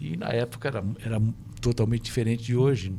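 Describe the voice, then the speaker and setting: A man speaks very fast at a medium pitch with fairly even intonation. Noticeable background noise is present. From Brazil. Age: 70s. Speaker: former pro tennis player, tennis coach. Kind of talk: podcast interview. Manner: halting, many repetitions.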